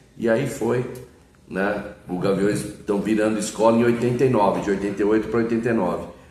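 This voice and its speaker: With audible room echo around him, a man talks in a fairly low pitch and fairly even intonation. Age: 60s. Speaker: samba singer and composer. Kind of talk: interview.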